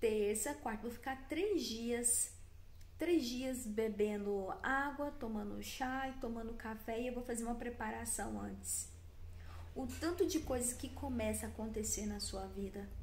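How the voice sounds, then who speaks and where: A woman at a fairly slow pace, amid noticeable background noise and audible room echo. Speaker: wellness content creator. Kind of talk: motivational talk to camera. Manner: animated.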